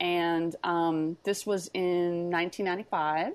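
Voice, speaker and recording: A normal speaking voice from a woman, medium in pitch, with fairly even intonation. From Texas. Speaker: business intelligence consultant. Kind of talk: casual interview chat.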